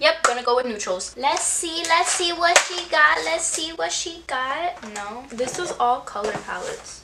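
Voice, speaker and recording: Against noticeable background noise, a woman with a Miami accent uses a raised, projected voice at a high pitch, speaking at a fairly slow pace with hardly any pauses, an animated tone and very wide pitch swings. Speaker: beauty vlogger. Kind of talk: casual chat.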